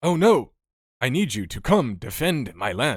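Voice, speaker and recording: A man's raspy, put-on character voice at medium pitch, with very wide pitch swings and a moderate pace. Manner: bad, over-the-top B-movie acting.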